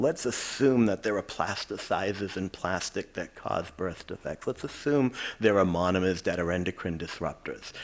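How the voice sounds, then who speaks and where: In a Boston accent, a man speaks with a very deep, low pitch. His pace is moderate, with hardly any pauses and ordinary pitch variation. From Quincy, Massachusetts (Boston area). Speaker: chemistry professor. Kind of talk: lecture. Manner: conversational.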